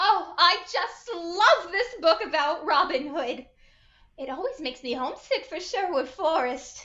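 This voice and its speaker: A put-on character voice, female-sounding and extremely high, drawling at a moderate pace. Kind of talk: 1940s radio acting. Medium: stage play. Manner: genteel, drawling exclamations.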